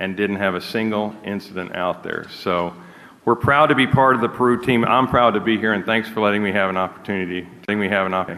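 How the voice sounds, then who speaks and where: This man has a plain, everyday voice, fairly low in pitch, with fairly even intonation and a fairly quick pace. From United States. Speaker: energy company executive. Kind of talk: conference talk; audience Q&A.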